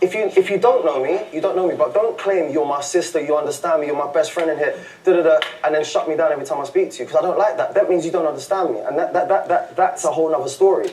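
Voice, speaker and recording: A man with a London accent speaks loudly at a very fast pace, high in pitch with ordinary pitch variation. Noticeable background noise sits behind him. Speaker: reality TV contestant. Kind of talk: heated argument. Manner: animated.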